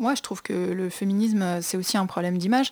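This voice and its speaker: A woman's very fast, dark, mellow voice with fairly even intonation, on a very clean recording with a silent background. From Brittany, France. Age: 20s. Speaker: fashion entrepreneur. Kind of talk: radio interview. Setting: studio.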